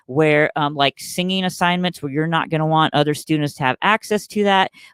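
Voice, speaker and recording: This man has a plain, everyday voice, fairly high for a man, with fairly even intonation and a fairly quick pace, recorded dry and close with no echo. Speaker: choir director and webinar presenter. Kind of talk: webinar tutorial with live Q&A. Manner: casual, many filler words.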